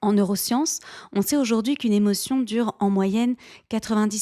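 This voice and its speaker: On a very clean recording with a silent background, a woman with a dark, mellow tone speaks at a medium pitch with fairly even intonation, the sound dry and close with no echo. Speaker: life coach and podcast host. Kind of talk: solo podcast monologue.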